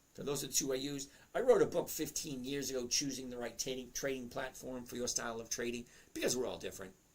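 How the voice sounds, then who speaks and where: A man's fairly high voice with a Boston accent. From Massachusetts South Shore, lives in Florida. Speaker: live stream host answering chat about stock trading. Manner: casual, conversational.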